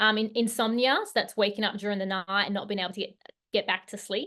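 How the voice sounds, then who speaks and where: Woman with an Australian accent. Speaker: hormone health coach. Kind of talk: online workshop presentation. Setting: video call. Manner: hesitant, many fillers.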